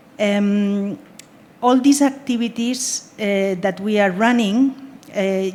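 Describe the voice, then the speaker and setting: A woman speaks with a Spanish accent. Her pitch is medium and her intonation fairly even. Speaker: humanitarian aid worker. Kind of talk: panel discussion. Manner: halting.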